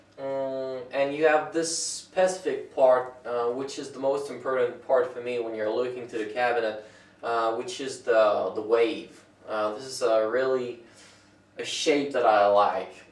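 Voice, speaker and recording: Talking at a fairly slow pace with a medium pitch and ordinary pitch variation, a man's loudness swings widely amid noticeable background noise and audible room echo. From France. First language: French. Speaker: woodworker. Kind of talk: tutorial. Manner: halting.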